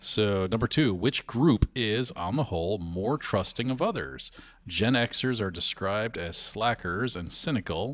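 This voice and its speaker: A man talks fairly slowly in a fairly low voice with lively intonation. The recording is very clean, with a silent background. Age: 50s. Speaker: radio host. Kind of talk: casual chat. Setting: studio. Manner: halting.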